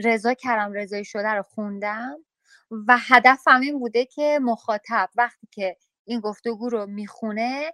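A woman's fairly high, bright, sharp voice at a fairly slow pace, with ordinary pitch variation. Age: 40s. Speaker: journalist and writer. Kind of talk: interview.

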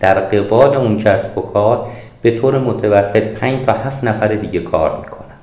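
Against noticeable background noise and audible room echo, a man talks at a moderate pace in a fairly low pitch with ordinary pitch variation. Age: 50s. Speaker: author and business consultant. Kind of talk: interview.

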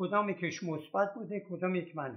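Here is a man speaking at a moderate pace. His pitch variation is ordinary. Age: 80s+. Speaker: retired postal worker, elder staff member at an education foundation. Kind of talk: interview.

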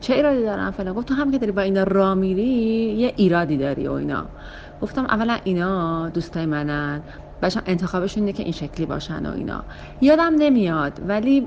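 Very fast speech from a woman at medium pitch, with very wide pitch swings and noticeable background noise. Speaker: interviewee sharing a personal story. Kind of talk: casual storytelling.

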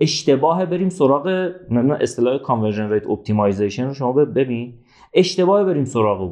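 A man with a dark, mellow tone and fairly high pitch makes very wide pitch swings at a moderate pace over a quiet background. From Iran, Zanjan. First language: Azerbaijani Turkish (speaking Persian). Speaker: entrepreneur, marketing expert. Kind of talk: casual interview.

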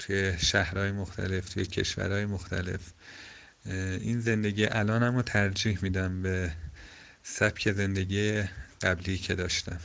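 A man speaks at a fairly low pitch with monotone, flat intonation. His pace is fairly slow, broken by long, frequent pauses. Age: 20s. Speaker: traveller and hitchhiker. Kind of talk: interview. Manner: halting.

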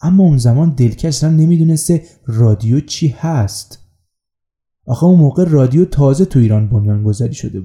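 A fairly high-pitched man's somewhat breathy voice, dark and mellow in tone, with lively intonation at a fairly quick pace. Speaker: podcast host. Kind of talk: scripted narration.

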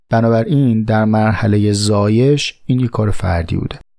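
The speaker has a Tehran accent and keeps a moderate pace. Pitch variation is ordinary. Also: man. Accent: Tehrani Persian. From Tehran, Iran. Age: 30s. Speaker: podcast host. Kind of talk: casual monologue answering listener questions.

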